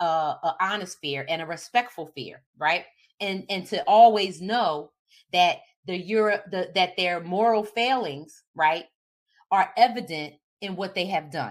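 The tone is animated, with big swings in loudness and ordinary pitch variation. The pace is fairly slow. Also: woman, medium pitch for a woman. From Philadelphia, US. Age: 50s. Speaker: diversity educator. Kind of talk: solo talk.

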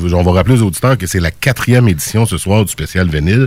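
A man's very deep, low voice in a Quebec accent, with lively intonation. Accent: Québécois French. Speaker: radio host. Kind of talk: casual chat.

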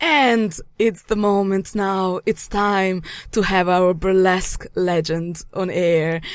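With a Yugoslavian accent, a woman speaks at a very slow pace and medium pitch, her loudness very even and her intonation fairly even. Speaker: radio host. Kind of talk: casual chat.

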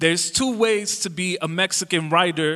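A bright, sharp voice speaks at a fairly slow pace with ordinary pitch variation. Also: man. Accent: American. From Chicago suburbs, Illinois. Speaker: poet. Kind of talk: interview.

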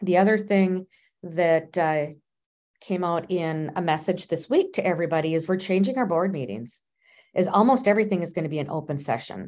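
Against a quiet background, a woman with an American accent talks at a fairly quick pace. She has an ordinary speaking voice, a fairly low pitch and ordinary pitch variation. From Minnesota. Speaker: nurse anesthetist, professional association president. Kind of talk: interview.

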